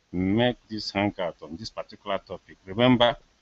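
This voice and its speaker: A man with a Nigerian accent speaks in a fairly low pitch. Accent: Nigerian Igbo English. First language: Igbo. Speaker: political commentator. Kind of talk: live monologue. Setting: live video hangout.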